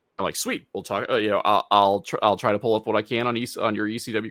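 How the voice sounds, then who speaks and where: The recording of this man is dry and close with no echo. He talks very fast at a fairly low pitch, with ordinary pitch variation. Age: 40s. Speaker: wrestling podcast host. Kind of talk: casual chat. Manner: halting, many false starts.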